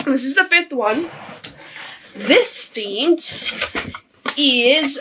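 A woman speaks in a raised, projected voice with a bright, sharp tone and lively intonation, at a fairly slow pace against a quiet background. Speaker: vlogger. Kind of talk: casual vlog chat. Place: home room. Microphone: phone near.

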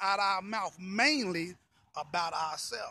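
A man's raised, projected voice with a bright, sharp tone, ordinary pitch variation and a moderate pace, in a dry sound with no echo. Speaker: pastor. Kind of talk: sermon-style motivational talk to camera. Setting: outdoors, walking. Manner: casual, conversational, repetitive phrasing. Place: street. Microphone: phone near.

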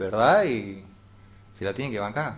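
A man speaks in a fairly low voice with ordinary pitch variation. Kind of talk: interview answer. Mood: frank, critical of politicians. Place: studio.

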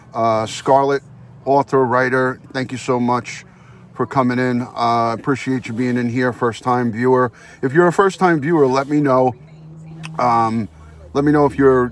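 The sound is dry with no echo, and there's light background noise. A man speaks at a moderate pace. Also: fairly even intonation. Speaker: live streamer. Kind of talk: casual live-stream chat. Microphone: phone near.

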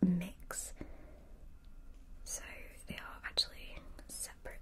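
A soft-spoken woman at a very slow pace over light background noise. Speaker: ASMR creator. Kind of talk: soft-spoken casual product chat. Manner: soft, close ASMR speaking voice.

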